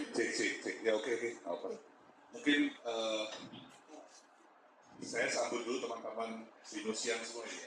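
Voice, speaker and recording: A man speaks at a moderate pace, with long, frequent pauses. The room echo is audible, and there is noticeable background noise. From East Java, Malang. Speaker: restaurant founder, business speaker. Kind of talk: talk to community audience.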